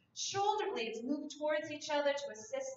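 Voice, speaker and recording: A woman talks at a fairly slow pace. Audible room echo and light background noise come through in the recording. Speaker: yoga instructor. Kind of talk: guided prenatal yoga class with calm step-by-step cueing of stretches. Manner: gentle, soothing and reassuring, giving permission to stop; unhurried, precise alignment cues spoken softly. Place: home room. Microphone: camera far.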